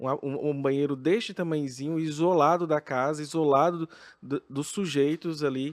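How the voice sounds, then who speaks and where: In a very clean recording with a silent background and a dry, close sound with no echo, a man with a fairly high pitch and a normal speaking voice talks at a moderate pace with fairly even intonation. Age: 30s. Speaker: drag queen, professor. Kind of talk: podcast guest interview answer.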